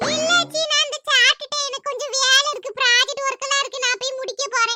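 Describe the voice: Using a squeaky, cartoonish character voice at an extremely high pitch, a woman speaks at a moderate pace. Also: ordinary pitch variation.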